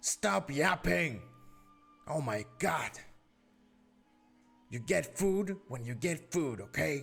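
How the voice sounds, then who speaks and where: A man shouts in a put-on character voice, raspy and gruff at a fairly high pitch, with very wide pitch swings. He goes at a very slow pace with long, frequent pauses as music plays in the background. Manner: shouting.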